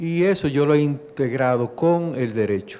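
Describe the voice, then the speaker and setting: Lively intonation from a man with a fairly high pitch and a Dominican accent. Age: 60s. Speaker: judge. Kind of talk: talk to an audience. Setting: library event with audience.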